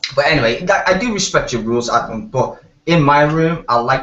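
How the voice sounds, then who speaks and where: A man with a strong Liverpool accent, a fairly quick pace and ordinary pitch variation. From Liverpool, northern England. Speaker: hangout participant. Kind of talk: casual chat.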